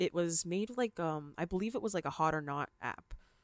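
A woman with a Canadian accent, fairly low pitch and ordinary pitch variation at a moderate pace, in a dry, close sound with no echo on a very clean recording with a silent background. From Canada, Ontario (London). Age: 20s. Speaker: podcast host. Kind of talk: casual monologue. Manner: upbeat.

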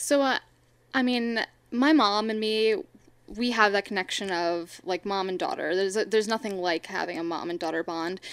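Captured on a very clean recording with a silent background, a woman uses a normal speaking voice at medium pitch and moderate pace, with ordinary pitch variation. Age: 20s. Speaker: student and streamer. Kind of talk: casual interview.

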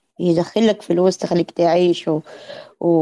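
Recorded dry and close with no echo, a woman speaks in a dark, mellow tone. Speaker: podcast host. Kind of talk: casual chat. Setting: online audio room.

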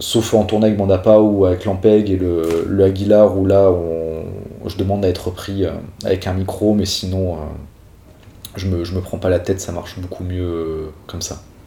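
Amid audible room echo, a man speaks at a very deep, low pitch in a dark, mellow, somewhat breathy tone with monotone, flat intonation. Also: moderate pace. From Corsica (Ajaccio). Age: 20s. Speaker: professional bassist. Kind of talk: interview. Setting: studio. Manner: halting.

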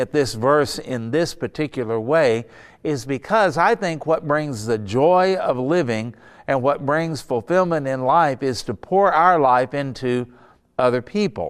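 Using an unremarkable speaking voice, a man talks at a fairly slow pace with a fairly high pitch and lively intonation. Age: 60s. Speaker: pastor. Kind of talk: sermon. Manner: casual.

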